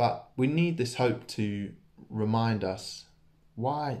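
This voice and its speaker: Speaking at a medium pitch, a man shows ordinary pitch variation. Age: 20s. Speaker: church preacher. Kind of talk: sermon. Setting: church. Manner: casual, hesitant with many fillers. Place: home room. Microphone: phone near.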